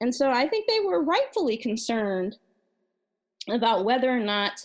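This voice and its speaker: A woman with a General American accent speaks at a fairly slow pace, her pitch fairly high, against a quiet background. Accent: non-regional general American. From Maryland, US. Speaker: guest, music industry professional. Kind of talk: casual interview chat.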